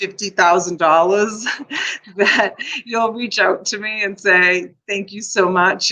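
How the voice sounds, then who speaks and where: The woman's intonation is monotone and flat. She speaks at a very slow pace. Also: medium pitch for a woman. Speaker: live-stream seller hosting a storage-unit auction. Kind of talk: live auction stream, chatty talk to camera.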